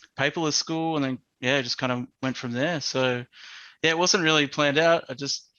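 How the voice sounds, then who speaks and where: With an Australian accent, a man speaks in fairly even intonation. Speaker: educational technologist. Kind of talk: casual interview chat.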